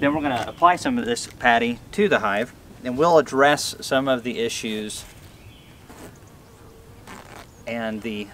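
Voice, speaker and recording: Light background noise sits behind the speech. A man talks at a moderate pace, his pitch varying in an ordinary way. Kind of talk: tutorial. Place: garden. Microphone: camera far.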